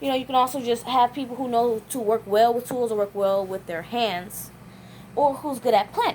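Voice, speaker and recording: A woman speaks at a fairly quick pace. Her pitch is fairly high, with ordinary pitch variation. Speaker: vlogger. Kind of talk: casual vlog monologue. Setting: at home folding laundry. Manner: fast.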